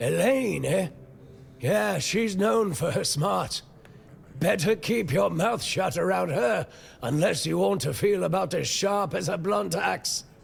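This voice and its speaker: Putting on a character voice, a man speaks raspily at a fairly slow pace and a high pitch. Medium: video game. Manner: folksy, wry.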